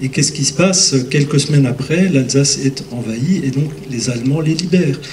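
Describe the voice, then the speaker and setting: Amid noticeable background noise and audible room echo, a man speaks fairly slowly at a fairly high pitch with ordinary pitch variation. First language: Lorraine Franconian dialect (speaking French). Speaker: pastor and lecturer. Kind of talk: conference Q&A. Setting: conference hall with audience. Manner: hesitant, many fillers.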